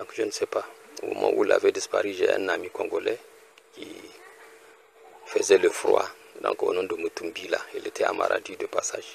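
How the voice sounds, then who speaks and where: A man with an extremely high pitch speaks with long, frequent pauses. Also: ordinary pitch variation, moderate pace. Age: 60s. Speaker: retired research technician. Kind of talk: personal appeal. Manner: halting.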